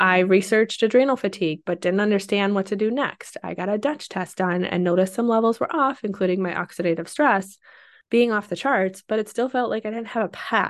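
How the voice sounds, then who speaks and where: A woman speaks fairly quickly in a plain, everyday voice against a quiet background. Her pitch is medium, with ordinary variation. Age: 30s. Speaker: podcast host, working mom. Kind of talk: personal monologue. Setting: home office.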